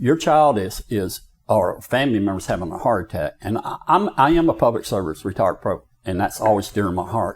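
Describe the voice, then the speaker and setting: This man talks at a fairly quick pace. He has a Southern US accent. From US South, Florida Panhandle. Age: 60s. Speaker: county commissioner. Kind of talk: interview. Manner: animated.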